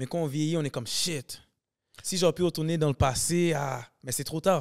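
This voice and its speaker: The background is quiet as a man speaks at a moderate pace. His pitch is fairly high, with ordinary variation. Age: 20s. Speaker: comedian and sketch video maker; podcast guest, actor, comedian. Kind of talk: casual chat. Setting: studio. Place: studio. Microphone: studio mic.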